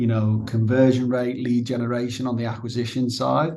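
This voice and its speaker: A man with a Liverpool accent talks at a moderate pace and medium pitch, in a dark, mellow tone. His intonation is monotone and flat, and audible room echo surrounds him. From northern England, Liverpool. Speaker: managing director at a software company. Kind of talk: business interview. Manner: halting, many fillers and repeats.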